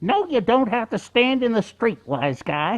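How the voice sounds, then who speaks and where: This is a put-on character voice with a fairly high pitch. It moves along at a moderate pace. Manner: sarcastic, wise-guy tone.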